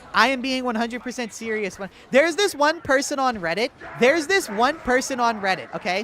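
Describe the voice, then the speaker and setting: An animated man with an extremely high pitch and lively intonation talks at a fairly quick pace against noticeable background noise. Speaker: gaming livestreamer. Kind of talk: casual livestream chat reading comments.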